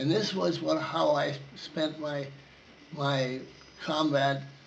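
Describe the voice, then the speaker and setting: A man's fairly high voice with fairly even intonation, audible room echo, and noticeable background noise. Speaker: war veteran. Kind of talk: oral history interview. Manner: halting.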